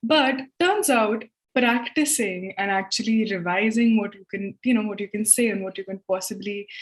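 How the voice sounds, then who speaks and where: This woman's voice sits at a fairly high pitch and is somewhat breathy, with ordinary pitch variation. She keeps a moderate pace while her loudness swings widely. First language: Hindi or another Indian language. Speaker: English tutor, live show host. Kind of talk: live-stream English lesson chat. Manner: conversational, casual.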